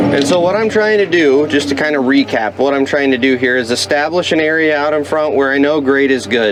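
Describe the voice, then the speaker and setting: Music plays in the background as a man talks at a fairly quick pace and fairly high pitch, with hardly any pauses. His loudness stays very even and his pitch varies in an ordinary way. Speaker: heavy equipment operator and vlogger. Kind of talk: casual narration while working. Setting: dozer cab outdoors. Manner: loud, yelling.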